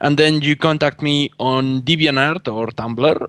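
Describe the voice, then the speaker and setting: With a Spanish accent, a man speaks at a fairly slow pace in a dry, close sound with no echo. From Spain. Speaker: artist. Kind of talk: casual chat. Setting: call.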